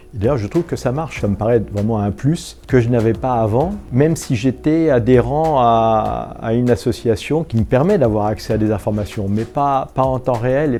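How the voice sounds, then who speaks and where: Music plays in the background as a man talks at a moderate pace. His pitch is medium, with ordinary variation. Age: 60s. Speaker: volunteer building manager. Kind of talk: customer testimonial. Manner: hesitant, many fillers.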